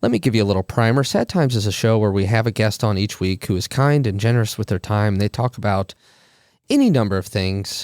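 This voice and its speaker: On a very clean recording with a silent background, a man with a fairly low pitch talks at a very fast pace, his loudness very even and his intonation fairly even, in a dry, close sound with no echo. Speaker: podcast host. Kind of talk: podcast intro monologue.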